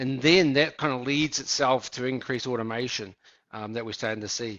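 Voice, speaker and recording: A man's medium-pitched voice with a slight New Zealand accent, at a fairly quick pace. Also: ordinary pitch variation. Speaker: business executive. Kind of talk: interview.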